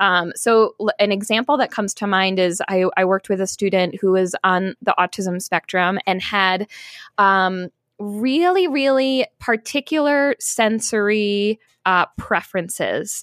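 An unremarkable speaking voice from a woman with an American accent, medium in pitch with ordinary pitch variation and very even loudness, at a fairly slow pace, in a very clean recording with a silent background and a dry, close sound with no echo. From upstate New York. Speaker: music therapist. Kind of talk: interview.

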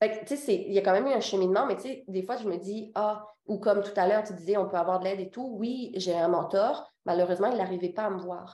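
The voice has a dark, mellow tone, moves at a fairly quick pace and shows ordinary pitch variation. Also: woman. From Réunion island. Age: 20s. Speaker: boutique owner, entrepreneur. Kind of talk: casual interview.

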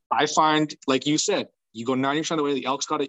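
A man with a fairly high pitch and an ordinary speaking voice talks at a fairly quick pace. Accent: Canadian. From British Columbia, Canada. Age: 30s. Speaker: elk hunter. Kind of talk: casual chat.

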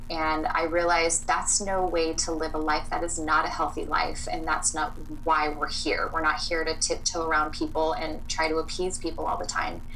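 A woman's fairly low, monotone voice with flat intonation, moderate pace and hardly any pauses, amid noticeable background noise and audible room echo. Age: 30s. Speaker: clean beauty sales rep and boundaries coach. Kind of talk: casual interview chat.

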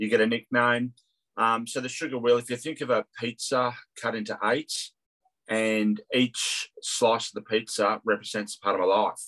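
With an Australian accent, the speaker has a bright, sharp tone and a flat, monotone delivery at a moderate pace, recorded dry and close with no echo. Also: man, medium pitch for a man. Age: 50s. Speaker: CFO and property development student. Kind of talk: interview.

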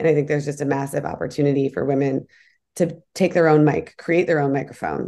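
The voice has a dark, mellow tone with vocal fry. It moves at a fairly quick pace with ordinary pitch variation. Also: woman. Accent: American. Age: 40s. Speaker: entrepreneur and advocate against a tech giant. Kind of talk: interview.

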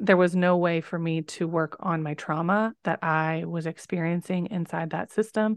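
A woman's unremarkable speaking voice, fairly low in pitch with ordinary pitch variation, dry and close with no echo against a quiet background. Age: 30s. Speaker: nurse and birth educator. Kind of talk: casual interview.

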